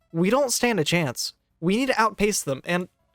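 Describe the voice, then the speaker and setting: This put-on character voice sounds shaky and moves at a moderate pace. Music plays in the background. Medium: read story. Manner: earnest, slightly trembling.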